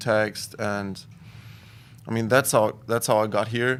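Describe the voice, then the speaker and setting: In a German accent, a man speaks at a fairly slow pace. His fairly low voice sits on a very clean recording with a silent background. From Germany, Cologne. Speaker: student athlete, soccer player. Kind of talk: casual interview. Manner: halting.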